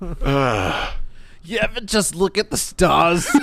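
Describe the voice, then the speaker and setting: A put-on character voice at a middle pitch, in a Brooklyn accent, delivered at a very slow pace. Light background noise can be heard. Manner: spaced-out, dreamy.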